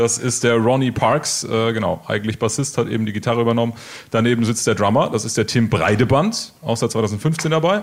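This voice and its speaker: A man's medium-pitched, normal speaking voice at a fairly quick pace. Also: ordinary pitch variation. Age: 20s. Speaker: radio host. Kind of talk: radio interview.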